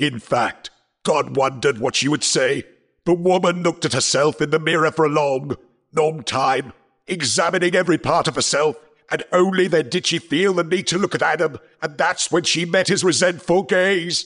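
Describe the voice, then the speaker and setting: A man at a moderate pace, fairly high pitch for a man, quiet background. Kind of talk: stage play acting. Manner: solemn, explanatory, warning.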